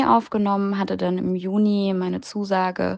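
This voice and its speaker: A woman's unremarkable speaking voice at medium pitch and a moderate pace. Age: 20s. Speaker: exchange student. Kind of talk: interview.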